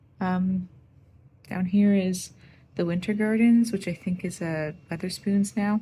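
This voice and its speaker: A soft-spoken, somewhat breathy voice talks at a fairly slow pace. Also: woman. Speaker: artist and travel vlogger. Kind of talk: casual vlog talk. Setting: hotel room.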